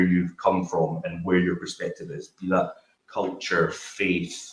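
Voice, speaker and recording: Fairly slow speech with a Glasgow accent. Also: man. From Glasgow, Scotland. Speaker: business founder, panelist. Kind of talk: panel discussion.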